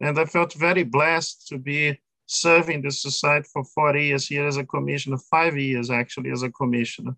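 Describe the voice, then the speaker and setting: A man speaks with a non-native accent at a fairly high pitch. His tone is bright and sharp, with hardly any pauses. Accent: foreign. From Brazil. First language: Portuguese. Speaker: law professor. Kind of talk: interview. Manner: halting, many fillers.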